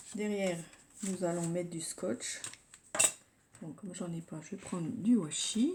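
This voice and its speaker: Her pitch medium and varying in an ordinary way, a woman speaks at a fairly slow pace with long, frequent pauses and big swings in loudness. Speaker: scrapbooking youtuber. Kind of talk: tutorial. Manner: soft-spoken; hesitant, with fillers.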